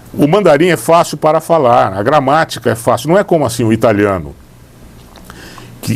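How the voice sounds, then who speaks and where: A man at a moderate pace with very wide pitch swings over noticeable background noise. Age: old. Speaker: lawyer. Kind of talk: interview. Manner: halting.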